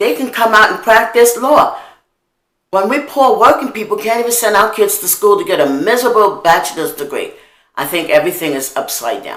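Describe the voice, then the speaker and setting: A woman with an American accent speaks in an animated tone with very wide pitch swings and vocal fry, and audible room echo surrounds her voice. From New York, Harlem. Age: old. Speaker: video blogger. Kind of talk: monologue.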